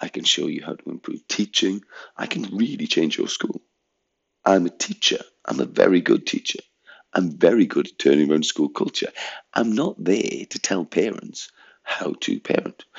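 The speaker is a man talking at a moderate pace. His loudness swings in big ways. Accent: English. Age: 50s. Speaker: head teacher. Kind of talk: monologue rant. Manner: animated.

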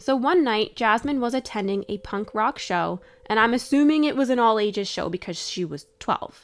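An ordinary speaking voice from a woman, fairly high in pitch, with lively intonation and hardly any pauses. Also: moderate pace. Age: 30s. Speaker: true crime podcast host. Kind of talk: casual storytelling chat.

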